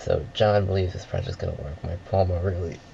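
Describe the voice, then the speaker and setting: A mumbling man with a very deep, low pitch, fairly even intonation and a moderate pace. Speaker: filmmaker. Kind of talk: director's audio commentary.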